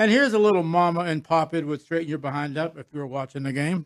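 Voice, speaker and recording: Speech races at a very fast pace, the sound dry and close with no echo on a very clean recording with a silent background. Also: man. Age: 70s. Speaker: sportsbook oddsmaker. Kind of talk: casual chat. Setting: studio.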